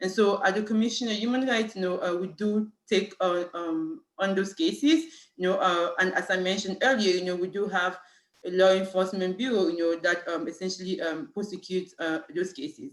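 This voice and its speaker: Speaking fairly quickly with hardly any pauses, a woman uses a medium pitch, ordinary pitch variation and a French accent. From Cameroon. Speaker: city human rights official. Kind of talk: panel talk. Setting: video call. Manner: halting, many fillers.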